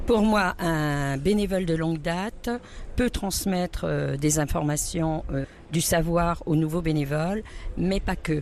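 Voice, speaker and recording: A woman speaks at a very slow pace. Her voice is fairly low in pitch with ordinary pitch variation. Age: 60s. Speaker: food bank volunteer coordinator. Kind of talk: interview testimony. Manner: hesitant with fillers.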